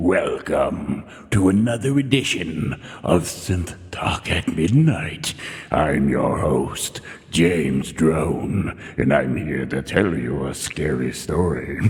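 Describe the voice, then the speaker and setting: A man uses a put-on character voice with a very deep, low pitch. He talks at a very slow pace. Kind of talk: announcer-like. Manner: over the top, theatrical.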